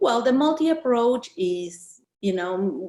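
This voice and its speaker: A woman with a strong Argentine accent speaks with lively intonation. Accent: Argentinian accent, still strong. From Argentina. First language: Spanish. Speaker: author. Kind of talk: interview. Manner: halting, with many fillers.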